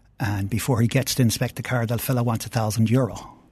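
A man with an Irish accent speaks at a medium pitch, somewhat breathy and in a monotone, flat way. The background is quiet. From Ireland. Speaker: entrepreneur and car collector. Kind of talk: casual chat.

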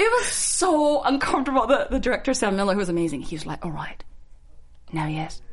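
A woman's fairly quick, fairly high-pitched speech with very wide pitch swings, amid noticeable background noise and audible room echo. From Singapore. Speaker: actress. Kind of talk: casual chat. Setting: studio.

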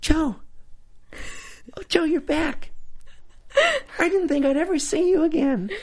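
In a put-on character voice with a high pitch, the speaker goes at a fairly slow pace with long, frequent pauses. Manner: excited, affectionate.

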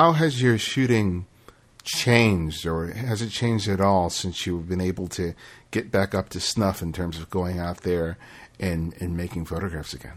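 In a very clean recording with a silent background, a man with a very deep, low voice speaks at a moderate pace with ordinary pitch variation. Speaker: podcast host. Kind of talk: interview; scripted narration.

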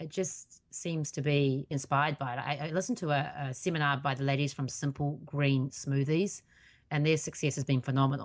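Speaking fairly quickly with a New Zealand accent, a woman uses a very deep, low voice and fairly even intonation over a quiet background. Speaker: accountability coach and podcaster. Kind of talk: interview.

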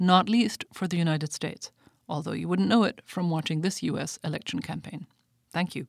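With vocal fry and a German accent, the speaker moves at a fairly quick pace with ordinary pitch variation, in a dry, close recording with no echo and a very clean, silent background. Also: woman. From Germany. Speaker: policy scholar. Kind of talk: scripted commentary.

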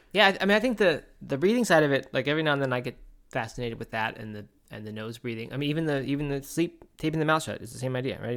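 A man mumbles at a very fast pace. The recording is very clean, with a silent background. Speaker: podcast co-host. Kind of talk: casual chat. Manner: fast, mumbling.

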